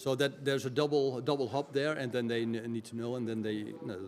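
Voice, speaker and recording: A man with a Dutch accent speaks at a very fast pace. His medium-pitched voice holds fairly even intonation. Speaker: IT executive and tech expert. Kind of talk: podcast interview. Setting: recorded at a community event. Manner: halting, many fillers.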